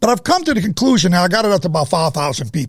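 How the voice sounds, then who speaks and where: With an American accent, a man speaks at a very fast pace in a high pitch, his voice making very wide pitch swings. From United States. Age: 70s. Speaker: drug abuse activist, former pharmacist. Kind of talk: interview. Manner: halting, repetitive.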